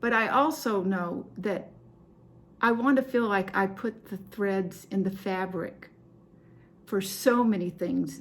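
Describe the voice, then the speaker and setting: Pausing long and often, a woman speaks at a very slow pace with a medium pitch. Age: 70s. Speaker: cross stitch video host. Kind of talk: casual show-and-tell chat to camera. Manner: halting, many fillers.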